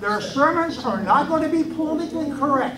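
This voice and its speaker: A man's voice with audible room echo. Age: 70s. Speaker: lay minister, audience member. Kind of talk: public comment at political meeting.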